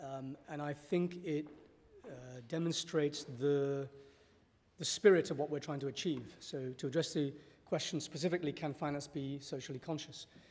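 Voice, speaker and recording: The voice is somewhat breathy, keeping fairly even intonation at a moderate pace. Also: man, fairly high pitch for a man. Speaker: panel speaker on Islamic finance. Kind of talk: panel talk. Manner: hesitant with fillers.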